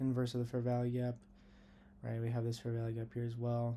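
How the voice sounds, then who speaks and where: A man talks very fast at a medium pitch, somewhat breathy. His tone is dark and mellow, his intonation monotone and flat. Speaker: day trader. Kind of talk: tutorial. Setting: lying in bed at home. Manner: casual.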